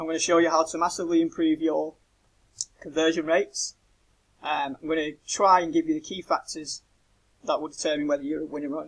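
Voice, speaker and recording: Monotone and flat, a man speaks at a fairly quick pace with a British accent. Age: 30s. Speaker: web designer. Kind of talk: website review tutorial. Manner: casual, many fillers.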